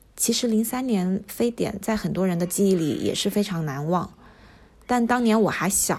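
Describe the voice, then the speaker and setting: The woman has an unremarkable speaking voice pitched in the medium range. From Wuhan, China. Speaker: medical company employee and diary contributor. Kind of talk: reading a personal diary aloud.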